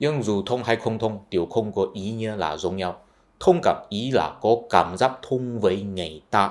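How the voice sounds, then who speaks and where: Fairly slow speech in a Chinese accent, with ordinary pitch variation, on a very clean recording with a silent background. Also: man, fairly low pitch for a man. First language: Chinese (speaking Vietnamese). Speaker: YouTuber, culture commentator. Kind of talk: explanatory video essay.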